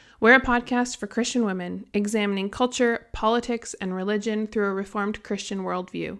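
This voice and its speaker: A woman speaks at a fairly quick pace with hardly any pauses, in a fairly high pitch. She has a plain, everyday voice with fairly even intonation. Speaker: podcast host. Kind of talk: podcast monologue.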